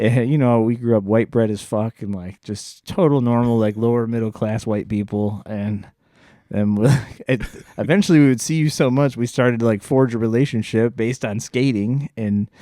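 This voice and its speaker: Speaking at a moderate pace, a man with a medium pitch and a dark, mellow tone uses ordinary pitch variation on a very clean recording with a silent background. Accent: American. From US Midwest, Joliet, Illinois. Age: 40s. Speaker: podcast host. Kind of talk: casual chat.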